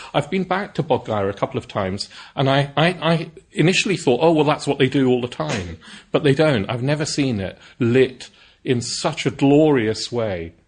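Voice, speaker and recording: Over a quiet background, a man with a fairly high, somewhat breathy voice speaks at a moderate pace with lively intonation. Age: 40s. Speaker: Buddhist teacher. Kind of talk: dharma talk. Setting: centre with live audience. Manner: hesitant with fillers.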